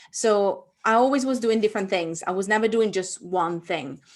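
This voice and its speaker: A woman with an Italian accent, medium pitch and ordinary pitch variation, against a quiet background. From Italy. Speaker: author and entrepreneur. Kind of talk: online workshop interview.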